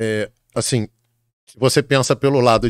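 Here a man is speaking. Behind him, the background stays quiet. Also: dry sound with no echo. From Brazil, Rio de Janeiro. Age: 50s. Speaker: exam prep author and teacher; teacher. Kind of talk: casual interview chat. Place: studio. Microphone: studio mic.

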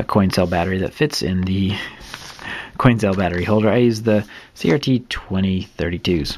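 There is noticeable background noise as a man speaks at a moderate pace. His voice is very deep and low, with ordinary pitch variation. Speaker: maker and seller of small robot kits. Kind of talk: tutorial. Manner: casual, hesitant with fillers.

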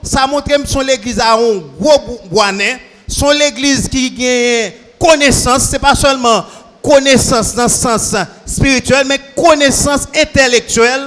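Very slowly, a man with a Haitian accent speaks at an extremely high pitch with ordinary pitch variation. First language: Haitian Creole (speaking French). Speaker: church member with legal training. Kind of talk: Q&A session. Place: church. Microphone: handheld.

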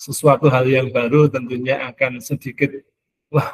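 A somewhat breathy man's voice at a moderate pace. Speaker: school supervisor giving welcome speech; webinar host or speaker. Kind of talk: formal webinar welcome speech. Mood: warm, welcoming.

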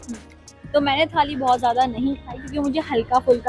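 Clear music plays in the background while a woman with a high pitch speaks in a dry recording with no echo. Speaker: food vlogger. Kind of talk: casual food review chat. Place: cafe. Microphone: lapel.

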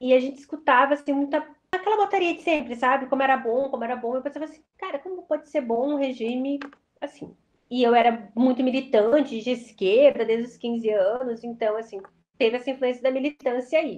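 A woman with a high voice speaks fairly quickly, her pitch varying in an ordinary way. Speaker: professor. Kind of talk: interview answer. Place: home room. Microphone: webcam.

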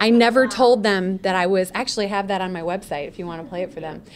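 A woman talks with light background noise behind her. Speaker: voice actor. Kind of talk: guest talk to students. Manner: casual, chatty. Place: classroom. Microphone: podium.

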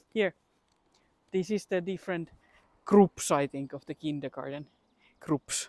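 A woman with a Finnish accent speaks in a dark, mellow tone with ordinary pitch variation, big swings in loudness and long, frequent pauses, the sound dry and close with no echo. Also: fairly low pitch for a woman, fairly slow pace. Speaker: travel vlogger. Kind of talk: casual walking vlog. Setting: outdoors.

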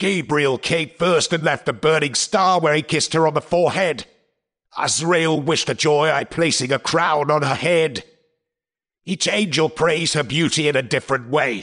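This is a man's voice at a moderate pace. His pitch sits fairly high. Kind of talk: stage play acting. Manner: solemn, explanatory, warning.

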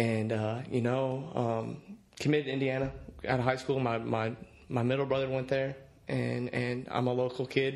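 Fairly quick delivery with monotone, flat intonation and long, frequent pauses. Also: man. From Indiana, US Midwest. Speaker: college football quarterback. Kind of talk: casual interview. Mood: relaxed, reflective. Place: studio. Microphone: studio mic.

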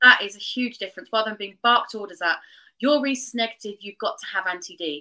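Against a quiet background, a woman speaks very fast with a bright, sharp tone and a fairly high pitch. Her loudness swings widely while her pitch variation stays ordinary. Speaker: traditional birth attendant and doula trainer; guest. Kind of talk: interview conversation. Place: home room.

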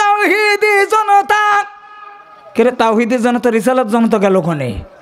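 A man speaks at an extremely high pitch with very wide pitch swings. His loudness stays very even. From Bangladesh. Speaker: Islamic preacher. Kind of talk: sermon. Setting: stage with audience. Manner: animated. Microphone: podium.

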